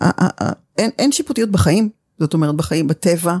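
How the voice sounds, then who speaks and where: Her voice dark and mellow with vocal fry, a woman speaks at a fairly low pitch in a dry, close sound with no echo. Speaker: communication teacher. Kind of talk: interview conversation.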